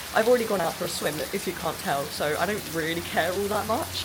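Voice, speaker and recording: A woman at a very fast pace and fairly low pitch, ordinary pitch variation, audible room echo and noticeable background noise. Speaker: book vlogger. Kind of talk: casual vlog. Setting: outdoors on holiday during a thunderstorm.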